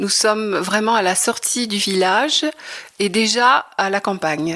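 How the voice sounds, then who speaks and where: A woman talks at a very slow pace with ordinary pitch variation. Noticeable background noise is present. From Normandy, Le Havre. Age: 60s. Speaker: retired textile artist. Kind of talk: interview. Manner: hesitant, many fillers.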